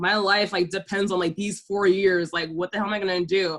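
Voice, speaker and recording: A woman speaks with a Southern Californian accent at a medium pitch. Her intonation is flat and monotone. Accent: Valley Girl. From Delaware, US. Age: 20s. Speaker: YouTuber. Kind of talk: casual chat. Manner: fast, filler-heavy.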